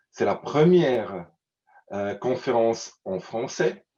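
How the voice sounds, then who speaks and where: With a Swiss German accent, a man talks at a very slow pace in a medium pitch, his tone dark and mellow and his intonation lively. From German-speaking Switzerland. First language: Swiss German (speaking French). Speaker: conference presenter. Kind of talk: conference introduction. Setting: virtual online event. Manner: halting, many hesitations.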